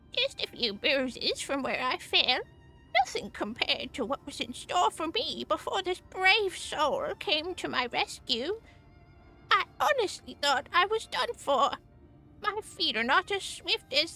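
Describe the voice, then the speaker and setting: A female-sounding put-on character voice, extremely high-pitched and fairly slow, over faint music in the background. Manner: frail, shaky, grateful.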